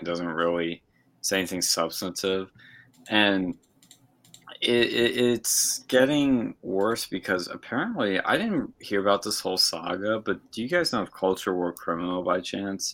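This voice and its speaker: This man has a plain, everyday voice, pitched fairly low. He speaks at a moderate pace with ordinary pitch variation. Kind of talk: casual banter. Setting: video call.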